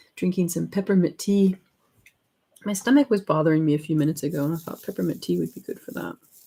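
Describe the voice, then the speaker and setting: A woman talks at a very fast pace, her voice somewhat breathy with a dark, mellow tone and fairly low pitch. Her pitch varies in an ordinary way while her loudness swings widely. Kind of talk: casual, conversational.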